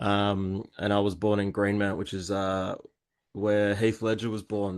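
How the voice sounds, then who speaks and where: Fairly slow speech in an Australian accent, monotone and flat in intonation, against a quiet background. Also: man, fairly low pitch for a man. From Perth, Western Australia. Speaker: graffiti artist and podcaster. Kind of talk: interview.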